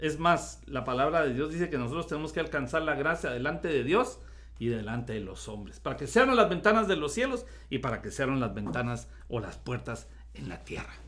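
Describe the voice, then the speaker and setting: A man talks at a fairly quick pace. The recording carries audible room echo. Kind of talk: Bible study talk.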